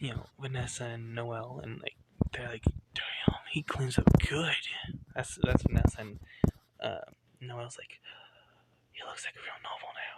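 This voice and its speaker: A man whispers with long, frequent pauses and big swings in loudness. Background noise is noticeable. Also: fairly slow pace. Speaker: fan fiction storyteller. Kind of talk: casual storytelling monologue. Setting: at home late at night. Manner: quiet, hushed; rambling, filler-heavy.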